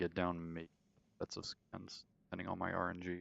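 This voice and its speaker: Soft-spoken and very deep-voiced, a man talks at a moderate pace in a flat monotone, the sound dry and close with no echo. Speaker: gaming streamer. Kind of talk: live gameplay commentary.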